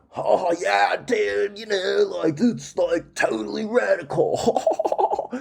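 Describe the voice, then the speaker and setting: A man talks very slowly in a put-on character voice. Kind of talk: casual slangy. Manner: exaggerated.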